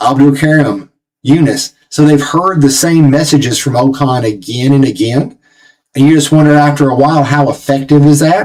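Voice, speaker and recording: A fairly high-pitched man's voice in a Southern US accent, with very even loudness. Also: moderate pace. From Tennessee, US South. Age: 40s. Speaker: football channel host. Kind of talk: live match watch-along commentary. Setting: live stream. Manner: animated.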